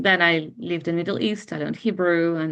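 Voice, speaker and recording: Talking very fast, a woman speaks with a non-native accent. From Ukraine. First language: not English (eighth language). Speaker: bridal makeup artist and hairstylist. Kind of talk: client testimonial interview.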